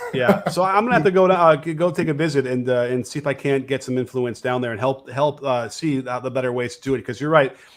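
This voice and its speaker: Talking at a very fast pace with hardly any pauses, a man uses ordinary pitch variation. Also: medium pitch for a man. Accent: northern US. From northern US. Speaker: basketball coach and show host. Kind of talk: live show call-in chat.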